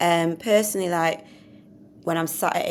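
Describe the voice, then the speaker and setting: A woman speaks in a Mancunian accent at a moderate pace. Her pitch is fairly low, with ordinary variation. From Manchester, northern England. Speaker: podcast co-host. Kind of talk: casual educational chat.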